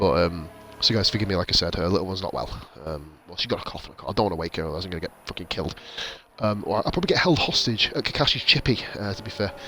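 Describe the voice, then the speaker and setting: Over noticeable background noise, a man with a British accent talks very fast in a very deep, low voice, with ordinary pitch variation and big swings in loudness. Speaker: sim racing league commentator. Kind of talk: live commentary. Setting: home stream, baby asleep. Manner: soft-spoken.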